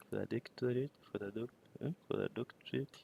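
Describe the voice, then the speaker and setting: A man with a non-native accent speaks in a dark, mellow tone, the recording dry and close with no echo. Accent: non-native English accent, self-noted. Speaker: data collection instructor. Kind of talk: tutorial. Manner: halting, many fillers.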